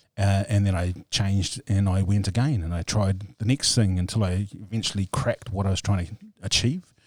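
Fairly quick and somewhat breathy, a man speaks with a fairly low pitch and fairly even intonation. The sound is dry and close with no echo, on a very clean recording with a silent background. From New Zealand, East Cape (Māori community). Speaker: entrepreneur. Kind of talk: interview.

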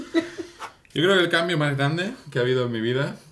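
A man talks at a fairly slow pace, his fairly high pitch swinging very widely. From Catalonia, Spain. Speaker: podcast co-host, improv performer. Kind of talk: improvised comedy chat.

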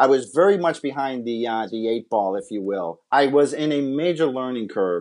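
A man with an American accent and an unremarkable speaking voice, at a moderate pace against a quiet background. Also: medium pitch for a man, hardly any pauses. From Massachusetts. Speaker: baseball scout and former pitcher. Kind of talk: interview.

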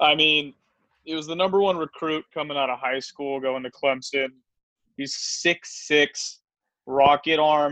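A man with a fairly high pitch and bright, sharp tone, fairly even intonation, at a fairly slow pace. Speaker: podcast host. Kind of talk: casual sports chat.

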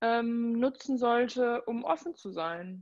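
A woman's fairly high voice at a very slow pace. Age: 20s. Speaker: social welfare office worker and Instagram creator. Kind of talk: casual interview chat.

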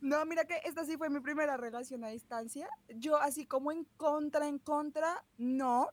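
A woman with a Bogotá accent speaks at a moderate pace in a high pitch, with fairly even intonation and hardly any pauses. The sound is dry and close, with no echo. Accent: Bogotá Colombian. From Bogotá, Colombia. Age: 20s. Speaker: chemistry student. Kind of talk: casual chat.

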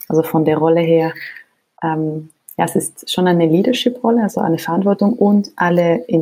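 Speaking at a fairly quick pace, a woman has a fairly low voice with a dark, mellow tone. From Switzerland, Geneva. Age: 20s. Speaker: nonprofit co-founder and CEO. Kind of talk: casual interview. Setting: home office remote recording.

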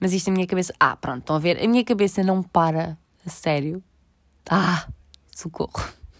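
A woman with a European Portuguese accent talks at a fairly quick pace, taking long, frequent pauses. Her medium-pitched voice shows ordinary pitch variation. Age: 20s. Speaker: podcaster. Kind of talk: casual monologue. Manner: halting.

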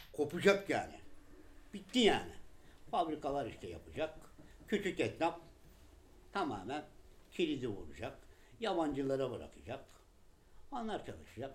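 This man's voice swings very widely in pitch and carries vocal fry. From Turkey, Balıkesir (Gönen). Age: 50s. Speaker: shoemaker. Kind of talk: interview testimony.

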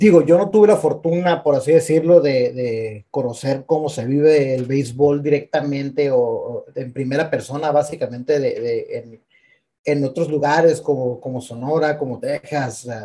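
Dark and mellow in tone, a man's somewhat breathy voice sits fairly high in pitch, moving at a moderate pace with ordinary pitch variation. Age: 30s. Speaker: podcast co-host. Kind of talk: casual chat. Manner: halting.

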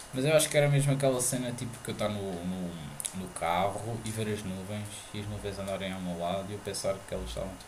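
Over noticeable background noise and audible room echo, a man with a European Portuguese accent talks at a fairly quick pace with ordinary pitch variation. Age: 20s. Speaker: podcast host. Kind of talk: casual chat. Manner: halting.

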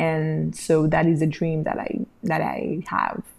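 A woman speaks at a very slow pace with vocal fry. Her pitch is very deep and low. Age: 30s. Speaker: podcast host. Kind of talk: personal monologue. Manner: halting, with fillers and repetitions.

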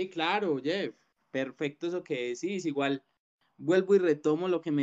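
Speaking at a moderate pace, a man with a plain, everyday voice uses a fairly high pitch with ordinary variation, and the sound is dry and close with no echo. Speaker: podcast host. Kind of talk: casual chat.

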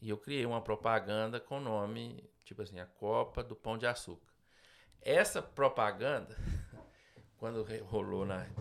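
A man at a medium pitch, fairly slow, with vocal fry, fairly even intonation and long, frequent pauses, in a very clean recording over a silent background. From Minas Gerais, Brazil. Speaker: business owner. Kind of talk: interview. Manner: halting.

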